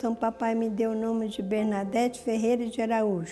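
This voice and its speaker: Music plays in the background behind a woman's voice. Her pitch is fairly high and her intonation fairly even. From Minas Gerais, Brazil. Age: 70s. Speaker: cloistered nun, abbess. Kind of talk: personal testimony interview.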